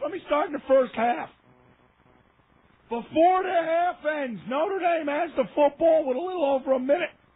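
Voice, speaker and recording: A man shouts loudly in an extremely high pitch. His pace is moderate, with ordinary pitch variation. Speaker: sports radio host. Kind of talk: heated rant. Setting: radio studio. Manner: loud, yelling.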